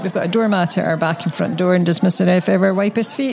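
A woman with a Scottish accent talks at a very fast pace, her medium pitch showing ordinary variation. Noticeable background noise is present. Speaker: podcast co-host. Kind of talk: casual chat.

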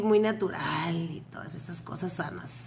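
A woman talks in an animated tone. Noticeable background noise sits behind her. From Tijuana, Mexico (born in Panama). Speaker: podcast co-host. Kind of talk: casual chat.

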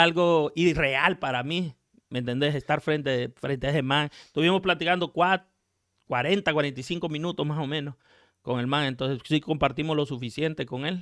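On a very clean recording with a silent background, a man with a fairly high voice and a bright, sharp tone speaks at a fairly slow pace with fairly even intonation. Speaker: music producer. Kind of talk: interview.

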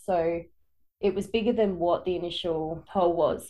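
Intonation stays fairly even at a moderate pace. The tone is dark and mellow. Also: woman. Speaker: podcast co-host narrating a true crime case.

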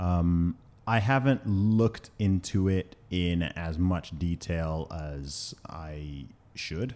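Here a man speaks very slowly with an American accent. His very deep, low voice has a dark, mellow tone and ordinary pitch variation. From Saudi Arabia (UK national, American school). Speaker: rapper and podcaster. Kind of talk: interview conversation.

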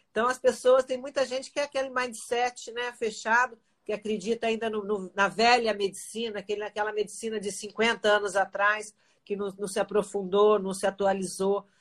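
The intonation here is fairly even, at a moderate pace. It is an unremarkable speaking voice. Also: woman, fairly high pitch for a woman. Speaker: former athlete turned health channel host. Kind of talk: casual interview chat.

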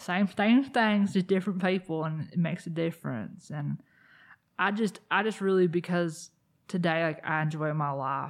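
Against a quiet background, a woman with an American accent speaks at a moderate pace with ordinary pitch variation. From US South, South Carolina. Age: 30s. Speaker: peer support specialist. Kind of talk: casual chat.

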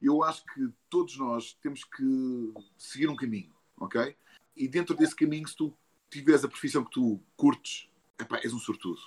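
This man's volume rises and falls sharply. He keeps to a middling speed. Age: 40s. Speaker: voice actor. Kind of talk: casual interview. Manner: animated.

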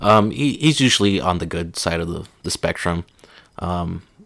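A man speaks with a very deep, low pitch. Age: 20s. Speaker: podcast co-host and new father. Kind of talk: casual chat.

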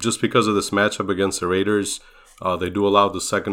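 On a very clean recording with a silent background, a man with an American accent talks at a fairly quick pace, his fairly low voice bright and sharp in tone but monotone and flat in intonation. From outside the US. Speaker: fantasy football podcast co-host. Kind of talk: casual chat.

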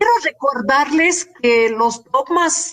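A woman is speaking. Her pace is very slow. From Germany. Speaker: family doctor and public health expert. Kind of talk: panel discussion.

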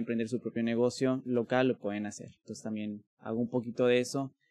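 A man's plain, everyday voice at a medium pitch, with fairly even intonation and a moderate pace against a quiet background. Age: 30s. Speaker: linguist and language school director. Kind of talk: casual interview conversation.

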